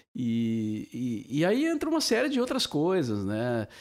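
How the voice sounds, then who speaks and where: In a very clean recording with a silent background, a man's voice shows very wide pitch swings. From southern Brazil, Cachoeira do Sul (Rio Grande do Sul). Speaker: veteran radio broadcaster. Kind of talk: casual chat. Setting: drinking wine during recorded podcast.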